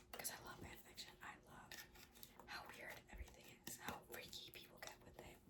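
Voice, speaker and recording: At a moderate pace, a woman whispers while noticeable background noise sits underneath. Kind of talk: casual talk to camera. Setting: recorded at night, ASMR-style mic. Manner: soft-spoken, quiet.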